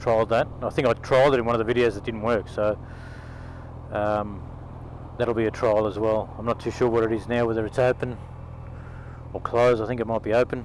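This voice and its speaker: The speech moves at a fairly quick pace with monotone, flat intonation. Long, frequent pauses break it up. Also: man, medium pitch for a man. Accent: Australian. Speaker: motovlogger. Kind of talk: casual vlog monologue. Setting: on a motorcycle, in helmet. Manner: loud; halting, many ums. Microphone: helmet camera mic, crackling when loud.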